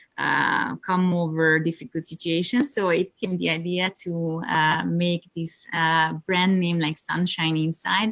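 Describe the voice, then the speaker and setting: A woman with a Hungarian accent speaks fairly slowly, her fairly low voice keeping a fairly even intonation. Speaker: yoga teacher and coach. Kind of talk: interview. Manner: halting, many fillers.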